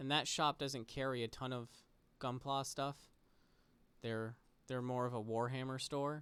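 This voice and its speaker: A soft-spoken man with a medium pitch talks at a fairly slow pace, leaving long, frequent pauses. His intonation is monotone and flat, and the recording is very clean with a silent background. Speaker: model kit builder / streamer. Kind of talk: casual relaxed commentary while building.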